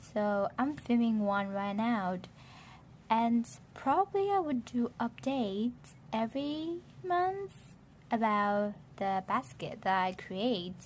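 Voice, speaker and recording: A woman's somewhat breathy, fairly high voice with very wide pitch swings, a very slow pace, and long, frequent pauses. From Vietnam. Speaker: beauty vlogger. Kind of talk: casual talk to camera.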